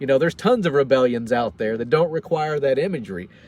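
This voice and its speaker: The speaker is a man with a Tennessee accent. His voice sits at a medium pitch. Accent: Southern US (Tennessee). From US South, Franklin, Tennessee. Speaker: military veteran and vlogger. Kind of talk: casual livestream monologue. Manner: halting, many repeated words.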